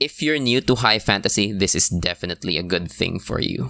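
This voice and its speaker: Heard as dry, close sound with no echo, a man with a normal speaking voice talks at a moderate pace with lively intonation. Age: 20s. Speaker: podcast host, book reviewer. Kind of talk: solo podcast review. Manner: casual, filler-heavy with laughs.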